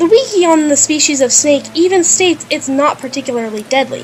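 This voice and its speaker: Music plays in the background as a woman with a high pitch speaks at a moderate pace. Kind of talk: video essay narration.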